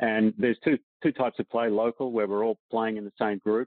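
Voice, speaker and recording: Someone with an Australian accent talks at a fairly quick pace with fairly even intonation. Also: man. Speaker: professional golfer. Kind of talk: casual interview chat.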